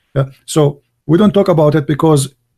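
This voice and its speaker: A somewhat breathy man with a fairly high pitch and a dark, mellow tone. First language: not English. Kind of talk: debate.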